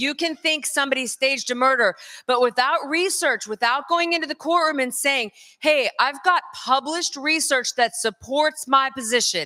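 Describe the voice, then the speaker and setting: In an American accent, a woman speaks in a high-pitched, raised and projected voice with an animated, bright and sharp tone, recorded in a dry, close sound with no echo. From US South, North Carolina. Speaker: conference speaker, crime scene expert. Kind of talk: conference lecture.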